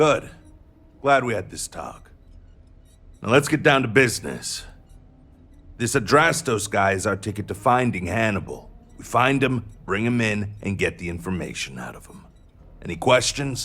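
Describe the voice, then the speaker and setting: A man puts on a gruff character voice at a medium pitch, with lively intonation at a moderate pace. Long, frequent pauses break up his speech as music plays in the background. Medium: video game. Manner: gruff, brash.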